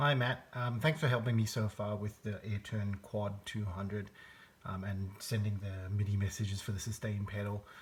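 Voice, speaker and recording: Somewhat breathy, the voice speaks in an Australian accent at a moderate pace with fairly even intonation. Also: man, fairly low pitch for a man. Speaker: musician seeking tech support. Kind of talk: video demonstration. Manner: hesitant, many fillers.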